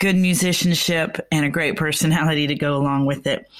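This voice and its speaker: A woman's plain, everyday voice with an American accent, ordinary pitch variation and a moderate pace. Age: 60s. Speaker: music radio host and singer. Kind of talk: casual radio interview.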